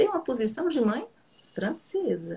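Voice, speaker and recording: A woman with a dark, mellow tone speaks at a fairly slow pace, her pitch swinging very widely. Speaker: psychoanalyst. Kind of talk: casual chat. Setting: live stream video call.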